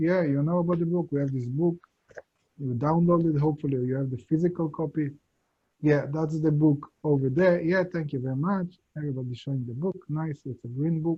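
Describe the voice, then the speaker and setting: Speaking with an Israeli accent, a man uses a fairly high pitch and fairly even intonation. His voice is somewhat breathy. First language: Hebrew. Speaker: Kabbalah teacher. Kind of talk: lecture. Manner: halting.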